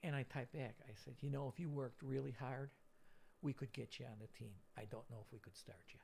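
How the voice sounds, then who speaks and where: A man talks at a fairly quick pace with medium pitch. His tone is dark and mellow, with vocal fry. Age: 60s. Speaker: retired coach and gym teacher. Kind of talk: casual interview chat.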